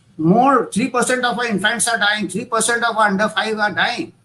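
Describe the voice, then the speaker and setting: Raised and projected, a man's voice with an Indian accent sits extremely high in pitch, bright and sharp in tone, moving at a moderate pace with ordinary pitch variation. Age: 60s. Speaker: doctor / public health expert. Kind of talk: conference talk. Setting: virtual summit. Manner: halting.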